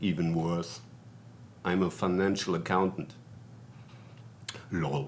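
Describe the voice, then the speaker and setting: This man has a German accent and a very deep, low pitch. He talks at a very slow pace with long, frequent pauses. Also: fairly even intonation. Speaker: vlogger. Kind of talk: casual monologue.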